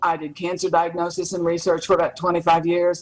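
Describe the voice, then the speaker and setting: Noticeable background noise sits behind this recording. A woman with a fairly low pitch speaks at a fairly quick pace. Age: 70s. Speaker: taekwondo champion and biologist. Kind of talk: interview.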